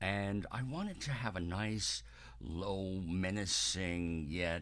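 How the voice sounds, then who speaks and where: A man speaks with a very deep, low pitch. Vocal fry runs through his voice. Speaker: amateur singer documenting vocal training. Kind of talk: video diary. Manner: hesitant, many fillers.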